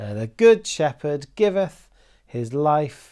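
A man's very slow speech over a quiet background. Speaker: Sunday school teacher. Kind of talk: children's Sunday school talk. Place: home room.

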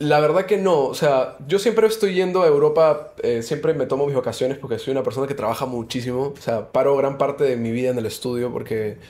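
A man speaks with a fairly high pitch and lively intonation. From Peru. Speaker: musician and DJ; guest. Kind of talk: casual interview. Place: studio. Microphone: studio mic.

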